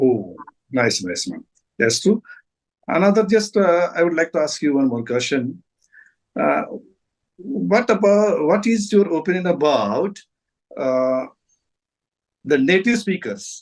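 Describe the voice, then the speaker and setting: With a Marathi accent, a man speaks at a high pitch and a fairly slow pace, making long, frequent pauses and very wide pitch swings against a quiet background. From India, Maharashtra. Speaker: retired English teacher. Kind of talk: casual chat.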